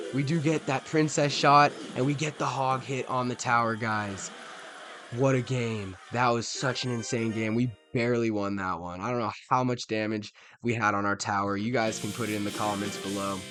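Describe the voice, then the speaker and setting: Over music in the background, a man talks at a medium pitch and a moderate pace with ordinary pitch variation. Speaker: gaming YouTuber. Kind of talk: live gameplay commentary. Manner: animated.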